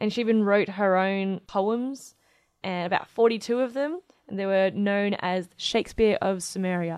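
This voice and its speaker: A woman with an Australian accent, medium pitch, ordinary pitch variation and moderate pace against a quiet background. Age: young. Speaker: astronomer and podcast co-host. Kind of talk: casual chat.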